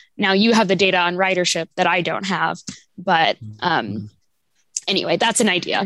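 With long, frequent pauses, a woman speaks at a moderate pace and medium pitch, with ordinary pitch variation. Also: very even loudness. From Kansas City area, US Midwest. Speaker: library diversity coordinator. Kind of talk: community stakeholder meeting.

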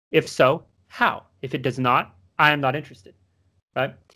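A man with an American accent and a fairly high pitch is heard on a very clean recording with a silent background. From US South. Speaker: podcast co-host. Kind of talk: casual chat.

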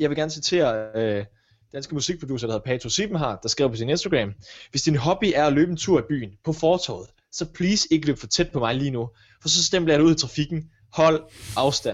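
A man's unremarkable speaking voice, fairly high in pitch, at a fairly quick pace with lively intonation. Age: 20s. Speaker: podcast co-host, radio presenter. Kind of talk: casual chat. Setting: home kitchen.

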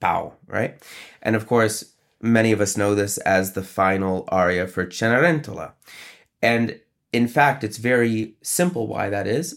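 A man talks in a plain, everyday voice at medium pitch, with ordinary pitch variation and a fairly slow pace, on a very clean recording with a silent background. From upstate New York. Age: 30s. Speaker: opera conductor. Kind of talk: interview.

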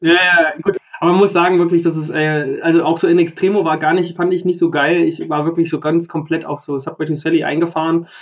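Noticeable background noise sits under the speech. The pace is fairly quick and the intonation monotone and flat. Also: man, high pitch for a man, hardly any pauses. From Thuringia. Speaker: musician and music podcast co-host. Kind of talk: casual chat.

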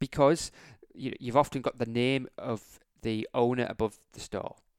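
In an English accent, a man speaks at a fairly slow pace and medium pitch. His intonation is fairly even, and the sound is dry and close with no echo. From England. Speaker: optometrist and practice owner, podcast host. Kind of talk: solo business podcast monologue. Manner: repetitive, hesitant with restarts.

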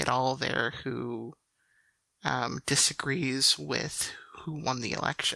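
A woman with an American accent has a very deep, low pitch. Her tone is bright and sharp. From Chicago suburbs, US Midwest. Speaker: podcast guest. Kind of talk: casual chat. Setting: remote recording online.

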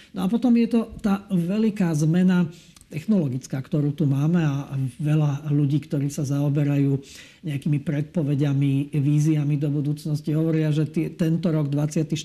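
A man's voice, fairly high-pitched and somewhat breathy, carries a dark, mellow tone. He talks at a moderate pace with ordinary pitch variation. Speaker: EU official. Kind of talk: interview. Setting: studio. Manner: halting.

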